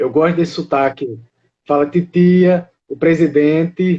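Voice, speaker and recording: A man's high-pitched voice with a dark, mellow tone, at a very slow pace. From Rio de Janeiro, Brazil. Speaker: live stream host of a monarchist channel. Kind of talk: casual live stream chat.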